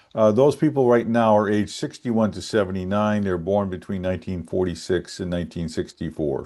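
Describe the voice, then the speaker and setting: A man with an American accent talks at a moderate pace in a fairly low, dark, mellow voice with lively intonation over a quiet background. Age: 60s. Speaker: economist. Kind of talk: casual chat.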